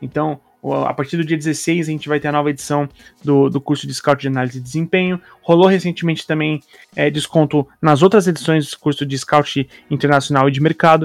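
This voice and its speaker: A man talks at a fairly quick pace in a fairly high pitch, his intonation fairly even and the sound dry and close with no echo. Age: 30s. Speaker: podcast host. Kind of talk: casual chat. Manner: halting.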